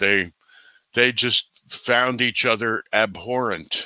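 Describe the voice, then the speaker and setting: A man's bright, sharp voice with an American accent, dry and echo-free over a quiet background. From New Jersey. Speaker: bigfoot researcher and author; podcast guest. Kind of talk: interview conversation. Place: home room.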